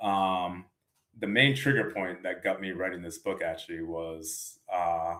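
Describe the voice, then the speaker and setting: A man with an American accent speaks at a fairly slow pace. His very deep, low pitch comes with a bright, sharp tone. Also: ordinary pitch variation. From Massachusetts, near Providence. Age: 30s. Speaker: author. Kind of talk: interview.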